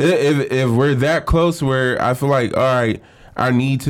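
Here a man with an unremarkable speaking voice speaks at a fairly high pitch with fairly even intonation. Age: 20s. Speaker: podcast co-host. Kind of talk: casual chat.

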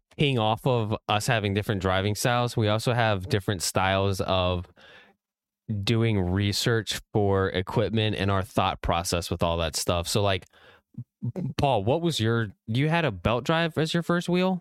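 A man with an American accent speaks fairly slowly in an ordinary speaking voice, fairly low in pitch, with lively intonation and very even loudness. The sound is dry and close with no echo, on a very clean recording with a silent background. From Virginia, Richmond. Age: 20s. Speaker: sim racer and former amateur race driver. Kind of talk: casual chat.

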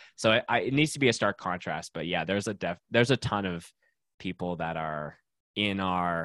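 A man with a Canadian accent and vocal fry speaks at a fairly quick pace with lively intonation and a very deep, low pitch. The very clean recording has a silent background and a dry, close sound with no echo. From Canada, Winnipeg, Manitoba. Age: 20s. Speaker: punk videographer, podcaster and guitarist. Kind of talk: casual interview chat.

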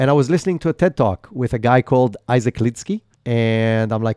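Dark and mellow in tone, a man speaks with lively intonation in a dry, close recording with no echo. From Israel. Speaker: entrepreneur. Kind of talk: interview. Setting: video call.

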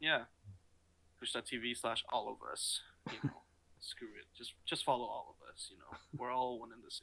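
Long pauses come often. The pace is otherwise moderate. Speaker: podcast co-host. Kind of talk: casual chat. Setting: video call.

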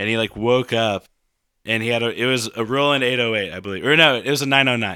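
Speaking very fast, a man keeps a medium pitch and ordinary pitch variation. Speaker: musician and DJ. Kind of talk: casual chat. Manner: gets loud.

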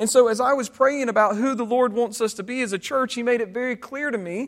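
The speaker uses fairly even intonation in a Southern US accent. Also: man. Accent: Southern American. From US South. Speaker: pastor. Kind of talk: sermon. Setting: church.

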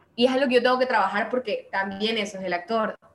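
A woman talks at a fairly quick pace with ordinary pitch variation. Noticeable background noise is present. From Manabí, Ecuador. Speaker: actress. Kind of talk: casual interview chat. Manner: animated, humorous.

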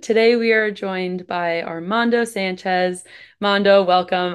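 Over a quiet background, a woman speaks in an ordinary speaking voice at a medium pitch. Her pace is moderate, with ordinary pitch variation. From US East Coast. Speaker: podcast host. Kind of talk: casual interview; scripted intro.

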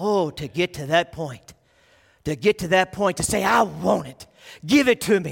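In an American accent, the speaker uses lively intonation and big swings in loudness, with a dry, close sound and no echo. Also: man, high pitch for a man, fairly slow pace. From Texas. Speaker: youth pastor, guest preacher. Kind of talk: sermon. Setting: church with congregation. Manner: animated.

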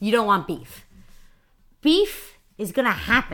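On a very clean recording with a silent background, a woman at medium pitch speaks very slowly with very wide pitch swings. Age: 20s. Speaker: podcast guest. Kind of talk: casual chat.

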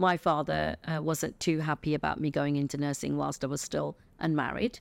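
A woman speaks in an English accent at a moderate pace. The recording is very clean, dry and close, with a silent background and no echo. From England. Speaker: retired chief nurse and healthcare consultant. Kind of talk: interview.

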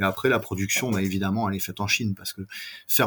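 This man's voice sits fairly low. He speaks in a monotone, flat way. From France. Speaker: scale model company owner. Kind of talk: interview.

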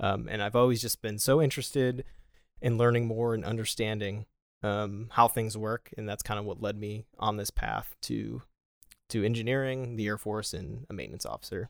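In a Western New York accent, a man speaks at a fairly low pitch and moderate pace, in a very clean recording with a silent background and a dry, close sound with no echo. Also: fairly even intonation. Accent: Western New York (Inland North) American. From Buffalo, New York, US. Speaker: Air Force officer, manufacturing engineer. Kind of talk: casual interview.

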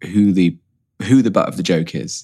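The speaker has an RP accent and ordinary pitch variation. The recording is very clean, with a silent background. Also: man. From Oxford, England.

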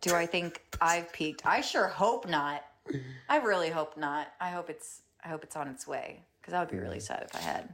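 A woman's fairly low voice with vocal fry, lively intonation and a moderate pace. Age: 20s. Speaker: guest and friend. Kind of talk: casual chat over wine.

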